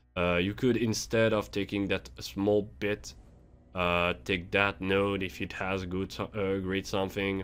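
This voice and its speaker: In a non-native accent, a man speaks at a fairly slow pace with a very deep, low pitch. The recording is very clean, the background silent. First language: not English. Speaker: gaming youtuber. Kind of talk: game tutorial. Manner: halting; casual.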